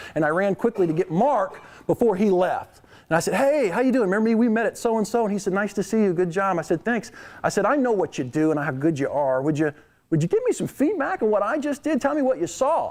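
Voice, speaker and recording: Very fast delivery with very wide pitch swings and very even loudness. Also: man, high pitch for a man. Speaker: keynote speaker on leadership. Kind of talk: keynote speech.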